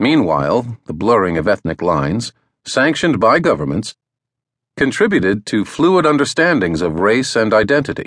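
A man speaks at a medium pitch and moderate pace, his voice swinging very widely in pitch and showing vocal fry. The sound is dry and close with no echo, over a quiet background. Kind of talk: audiobook narration. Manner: formal; measured, even-paced.

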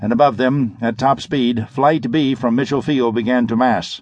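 A man's animated voice at a medium pitch, with ordinary pitch variation and a moderate pace. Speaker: audiobook narrator. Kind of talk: dramatic audiobook narration of pulp sci-fi action. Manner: urgent, suspenseful pacing with clipped, punchy delivery; animated, shifting into a crisp commanding tone for dialogue.

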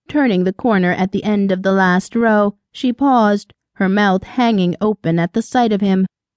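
Reading aloud, plainly, with quiet all around

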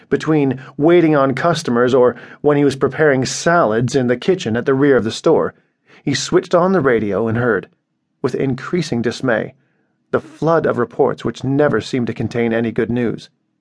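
A man with a plain, everyday voice, medium pitch, moderate pace and ordinary pitch variation. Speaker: audiobook narrator. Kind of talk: dramatic literary narration, reading a short story aloud. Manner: measured, grave storytelling pace; somber, sorrowful tone for scenes of persecution.

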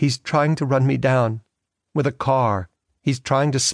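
The speaker uses a natural reading voice. Behind it, the background is quiet.

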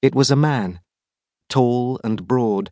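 A man with a British accent speaks at medium pitch in a dark, mellow tone. The sound is dry and close with no echo, over a quiet background. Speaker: audiobook narrator. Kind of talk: dramatic thriller audiobook narration. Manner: hushed, tense, slow-paced suspense narration.

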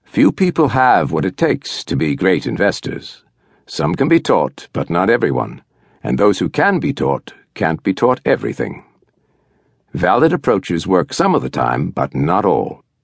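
A man's very deep, low voice with vocal fry and very wide pitch swings, in a dry, close sound with no echo. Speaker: audiobook narrator. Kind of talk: audiobook reading of a nonfiction book, steady and literary. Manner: measured, formal, even-paced; clear and deliberate, instructive tone.

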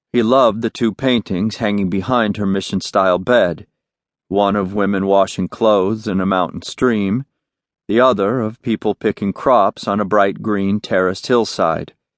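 Using a normal speaking voice, a man speaks at a moderate pace and a fairly low pitch with fairly even intonation. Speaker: audiobook narrator. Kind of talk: dramatic audiobook narration of a crime novel, third person. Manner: intimate, moody, crisp storytelling that slips into character dialogue.

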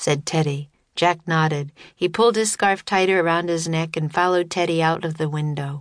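A normal speaking voice from a woman, fairly low in pitch, fairly even in intonation and fairly slow in pace, against a quiet background. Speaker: audiobook narrator. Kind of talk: scripted audiobook narration of a children's story, read dramatically.

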